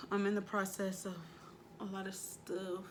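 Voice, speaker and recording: A somewhat breathy woman's voice at medium pitch and a fairly slow pace, with audible room echo. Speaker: tarot reader. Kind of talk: tarot reading. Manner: casual, slangy.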